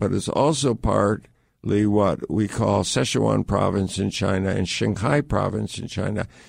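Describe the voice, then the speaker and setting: A man speaks at a fairly slow pace with vocal fry. The background is quiet. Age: 60s. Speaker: adventurer. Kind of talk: interview. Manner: halting.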